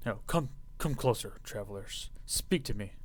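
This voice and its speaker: A man puts on a character voice at a moderate pace, with clear background noise behind him. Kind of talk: formal, royal. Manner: regal, commanding.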